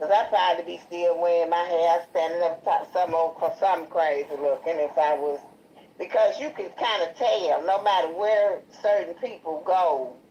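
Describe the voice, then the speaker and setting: In a Chicago accent, the speaker has a dark, mellow tone with ordinary pitch variation. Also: woman, fairly low pitch for a woman, moderate pace. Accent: country-sounding Chicago. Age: 60s. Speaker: guest. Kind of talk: casual chat. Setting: livestream.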